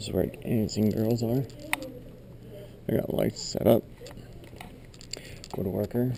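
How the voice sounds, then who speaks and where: Over noticeable background noise, a man speaks quietly at medium pitch and a fairly slow pace. His intonation is fairly even, broken by long, frequent pauses. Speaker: YouTuber. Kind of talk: walkthrough tour narration. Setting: indoors in a church building. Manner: soft-spoken.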